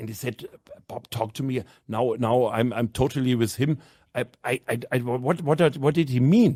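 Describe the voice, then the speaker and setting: On a very clean recording with a silent background, a man with a German accent speaks at medium pitch. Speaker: handball club manager and national team coach. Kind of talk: podcast interview. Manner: halting, many repetitions.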